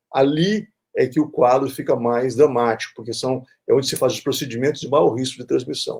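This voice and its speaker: Loudness swings widely as a man talks at a fairly quick clip. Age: 60s. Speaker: infectious disease doctor and professor. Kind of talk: interview. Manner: halting, many repetitions and fillers.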